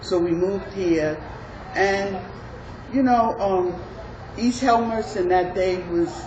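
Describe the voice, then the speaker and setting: With a New York accent, a woman talks at a very slow pace in a medium pitch with ordinary pitch variation, amid audible room echo and noticeable background noise. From New York City (Harlem, then Queens from age 13). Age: 70s. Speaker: community resident. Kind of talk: oral history interview.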